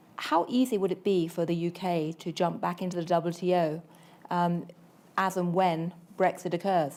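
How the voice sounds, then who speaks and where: A woman speaks at a moderate pace with a British accent, her fairly low pitch carried on fairly even intonation. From UK. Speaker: panel moderator, journalist. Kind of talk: moderated panel discussion.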